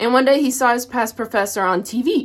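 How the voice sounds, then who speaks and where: On a very clean recording with a silent background, a woman with a Tennessee accent talks at a fairly quick pace in an animated tone. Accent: US South, Tennessee. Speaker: college student. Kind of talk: personal reflection on a reading.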